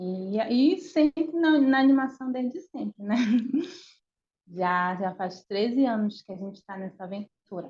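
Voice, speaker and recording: A woman speaks at a fairly slow pace in a fairly high, somewhat breathy voice. Her pitch swings very widely and her loudness rises and falls a lot. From northern Brazil, Belém, Pará. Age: 30s. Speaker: animator. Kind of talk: interview. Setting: video call. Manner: halting.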